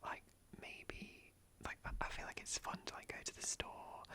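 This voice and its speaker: A man is whispering. There is noticeable background noise. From British. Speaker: ASMR YouTuber. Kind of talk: casual talk to camera, sit-down chat. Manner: whispered, soft-spoken.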